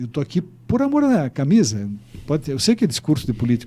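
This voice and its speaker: Speaking at a very fast pace, a man with a fairly high, somewhat breathy voice and a dark, mellow tone swings his pitch very widely. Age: 70s. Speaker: mayor. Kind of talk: interview. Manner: halting.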